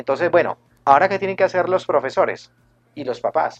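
The speaker is a man with an ordinary speaking voice and ordinary pitch variation. His pace is fairly quick, and the sound is dry and close with no echo. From Colombia, Cali. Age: 40s. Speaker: math teacher and YouTube educator. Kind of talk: radio interview.

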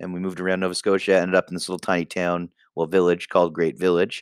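Dry and close with no echo, a very clean recording with a silent background captures a man's very deep, low voice in a Canadian accent. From Canada, East Coast and Ontario. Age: 20s. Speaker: podcaster. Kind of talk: casual monologue. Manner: rambling, hesitant with fillers.

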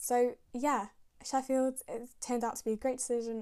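In a Manchester accent, a dark, mellow voice speaks at a moderate pace in a flat monotone, on a very clean recording with a silent background. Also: woman. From northern England, Manchester. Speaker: dental student and podcast host. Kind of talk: casual monologue.

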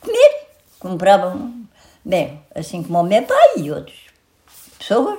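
Very slowly and with long, frequent pauses, a woman speaks with big swings in loudness. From Portugal, Santarém district. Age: 80s+. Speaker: centenarian interviewee. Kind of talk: life story interview.

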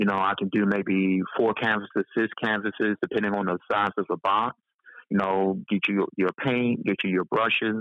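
A man with an American accent, fairly low in pitch, at a moderate pace, with very even loudness and flat, monotone intonation. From North Carolina (Roxboro). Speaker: visual artist and poet. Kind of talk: casual interview chat. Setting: remote call, on his balcony.

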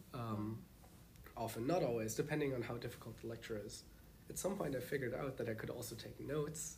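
There is audible room echo as a man talks very fast at a medium pitch. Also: ordinary pitch variation. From Germany. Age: 20s. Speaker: master's student. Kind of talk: casual interview.

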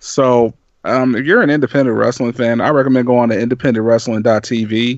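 Delivered at a moderate pace, a man's medium-pitched voice keeps a monotone, flat intonation. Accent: American. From Kansas City, Missouri. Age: 20s. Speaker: podcaster. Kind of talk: casual chat.

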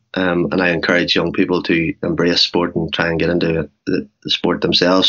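In a Northern Irish accent, a man with a very deep, low pitch speaks at a fairly quick pace. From Northern Ireland, Cookstown. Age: 40s. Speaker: businessman and Ironman triathlete with MS. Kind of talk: interview.

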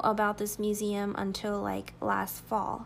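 A woman speaking at a very slow pace. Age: 20s. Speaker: podcast host. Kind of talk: personal monologue. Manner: animated.

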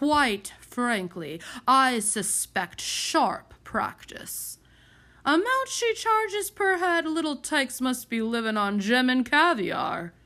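A woman's put-on character voice, high-pitched and bright and sharp in tone, with big pitch swings at a slow pace

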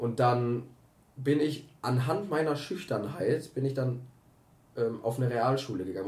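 A fairly slow pace carries the speech along. The tone is dark and mellow, and somewhat breathy. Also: man. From Germany, Herford (East Westphalia). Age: 20s. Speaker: podcast co-host. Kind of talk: casual chat.

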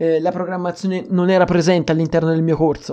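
A man with a high pitch and a dark, mellow tone keeps his intonation fairly even. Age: 20s. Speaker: podcaster. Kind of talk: casual solo podcast monologue.

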